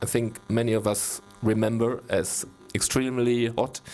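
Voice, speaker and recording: With a German accent, a man speaks at a medium pitch. His intonation is monotone and flat, and his pace fairly slow. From Germany. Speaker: wine critic. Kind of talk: wine tasting masterclass. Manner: halting.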